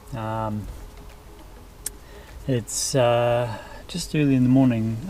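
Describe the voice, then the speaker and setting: A man speaks very slowly in a relaxed tone with fairly even intonation. There is noticeable background noise. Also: medium pitch for a man. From New Zealand. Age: 50s. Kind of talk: casual talk to camera. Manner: relaxed, easygoing, hesitant.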